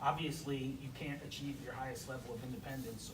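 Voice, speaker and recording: A man speaks at a very fast pace with monotone, flat intonation. Noticeable background noise and audible room echo fill the recording. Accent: American. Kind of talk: presentation.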